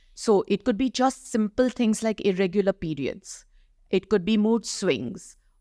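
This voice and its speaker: A woman's dark, mellow tone at medium pitch, with ordinary pitch variation, comes through a very clean, silent-background recording that is dry and close with no echo. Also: fairly slow pace. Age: 60s. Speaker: doctor and health advocate. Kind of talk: podcast interview.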